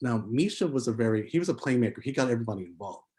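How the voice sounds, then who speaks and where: A man with an American accent, a somewhat breathy voice and a dark, mellow tone, talking at a very fast pace in a very clean recording with a silent background. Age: 40s. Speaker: filmmaker. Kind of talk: interview. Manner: halting, many fillers.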